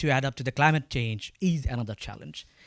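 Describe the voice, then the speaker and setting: The speaker has a Bangladeshi accent and lively intonation. The sound is dry and close with no echo, on a very clean recording with a silent background. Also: man. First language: Bengali. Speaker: agritech company founder. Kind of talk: panel talk. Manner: halting.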